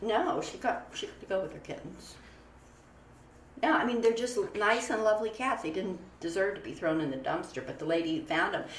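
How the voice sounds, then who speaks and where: A woman speaks at a fairly quick pace and fairly high pitch, with very wide pitch swings and big swings in loudness. Noticeable background noise and audible room echo fill the recording. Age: 60s. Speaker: animal shelter founder. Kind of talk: casual interview.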